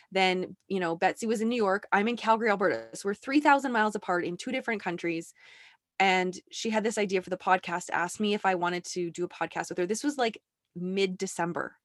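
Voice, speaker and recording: A woman talks at a very fast pace with ordinary pitch variation, her voice dry and close with no echo on a very clean recording over a silent background. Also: medium pitch for a woman. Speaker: business coach. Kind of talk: casual interview.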